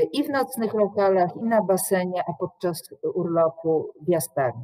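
A woman's medium-pitched voice at a moderate pace, against a quiet background. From Poland, Łódź; Poland. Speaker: university professor. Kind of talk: lecture. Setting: online video call. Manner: formal. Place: office. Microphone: webcam.

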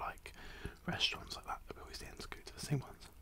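Through loud background noise, a man talks at a very fast pace. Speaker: food vlogger. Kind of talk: casual vlog chat. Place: home room. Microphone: studio mic.

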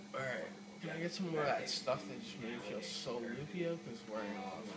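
A man talks at a fairly quick pace with clear music in the background. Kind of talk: casual vlog chat. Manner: groggy, sedated, slightly slurred speech. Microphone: phone near.

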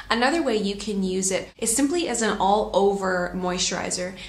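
With a Canadian accent and ordinary pitch variation, a woman speaks in a room with audible echo. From Canada. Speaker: lifestyle vlogger. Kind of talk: tutorial. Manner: casual, chatty. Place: home room. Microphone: phone near.

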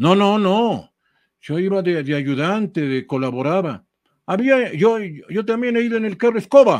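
Against a quiet background, a man with a high pitch speaks at a fairly slow pace with lively intonation. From Ecuador, Tulcán (northern highlands); Ecuador. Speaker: retired sports journalist, cycling specialist; retired sports journalist. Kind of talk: casual interview chat. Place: home room. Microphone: headset.

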